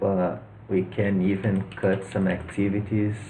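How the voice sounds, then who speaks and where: Here a man speaks with a Brazilian accent and a fairly low pitch, somewhat breathy in a dark, mellow tone. Audible room echo surrounds his voice. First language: Portuguese. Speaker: personal finance youtuber. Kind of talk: tutorial. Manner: hesitant, with fillers and repeats.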